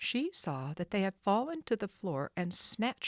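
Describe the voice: Someone doing plain reading aloud.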